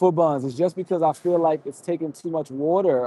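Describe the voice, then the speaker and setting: Fairly quick and with an American accent, a man speaks at a fairly high pitch with ordinary pitch variation and a dark, mellow tone. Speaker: livestream host. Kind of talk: live stream chat. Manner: fast.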